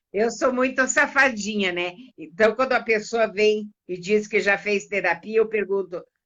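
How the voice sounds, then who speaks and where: This woman speaks at a fairly high pitch with a bright, sharp tone. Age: 60s. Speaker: therapist and coach. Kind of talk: casual interview on a live stream.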